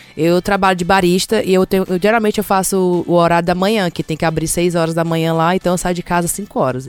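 Very fast, a woman speaks at a medium pitch in a dry, close sound with no echo. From Ceará, Brazil. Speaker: podcaster living abroad. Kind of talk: casual chat.

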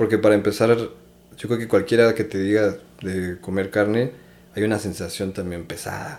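Using a plain, everyday voice, a man with a fairly low pitch speaks at a moderate pace with fairly even intonation. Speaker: triathlete. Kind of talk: casual chat.

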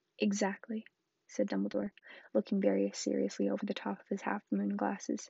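This is a natural reading voice. The background stays quiet.

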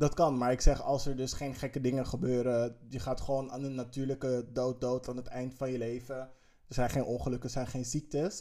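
A man talks with a dark, mellow tone at a fairly quick pace. His intonation is monotone and flat. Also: medium pitch for a man. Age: 30s. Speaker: podcast co-host. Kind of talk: casual chat.

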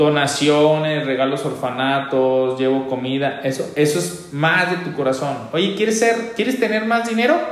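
A man's fairly high, animated voice at a fairly slow pace, with very wide pitch swings over noticeable background noise. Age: 30s. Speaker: radio host and financial coach. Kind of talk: radio call-in advice show.

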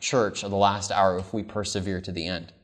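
With an American accent and a warm tone, a man's voice comes through with audible room echo. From California, US. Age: 30s. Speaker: pastor. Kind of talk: camp-meeting seminar sermon with personal testimony, calling for amens. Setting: camp meeting with live congregation. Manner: earnest, warm, conversational with frequent um and uh fillers.

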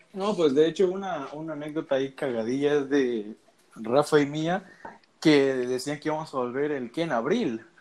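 A man speaks in a normal speaking voice, pitched fairly high for a man. His pace is moderate, with ordinary pitch variation. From Mexico, Veracruz. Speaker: podcast co-host, student. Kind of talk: casual chat.

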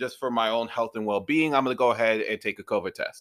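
On a very clean recording with a silent background and a dry, close sound with no echo, a man speaks at a fairly quick pace in a bright, sharp, animated tone with lively intonation. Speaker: podcast host. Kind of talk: casual chat. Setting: home studio.

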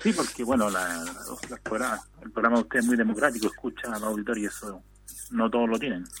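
A man of medium pitch speaks at a moderate pace. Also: ordinary pitch variation. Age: 40s. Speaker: radio listener caller. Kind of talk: phone-in chat. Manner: halting.

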